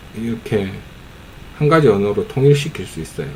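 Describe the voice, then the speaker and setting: Through noticeable background noise, a man talks with a strong Gyeongsang accent. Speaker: amateur YouTuber commenting on videos. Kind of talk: casual commentary on a film. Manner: casual, hesitant with fillers.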